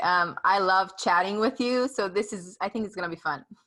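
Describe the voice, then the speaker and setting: Here a woman speaks at medium pitch. Her tone is bright and sharp. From Romania (ethnic Hungarian). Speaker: podcast host and author. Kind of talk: interview.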